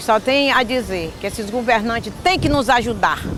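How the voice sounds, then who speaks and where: Over music in the background, a woman with a fairly high pitch talks with ordinary pitch variation. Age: 70s. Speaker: community leader. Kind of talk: interview testimony.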